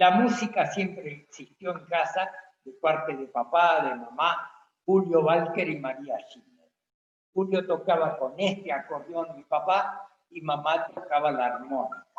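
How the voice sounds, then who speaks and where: A man's high-pitched voice at a fairly slow pace, with ordinary pitch variation and big swings in loudness. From Argentina, Santa Fe province rural colony. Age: 80s+. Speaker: musician. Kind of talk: personal introduction in online talk.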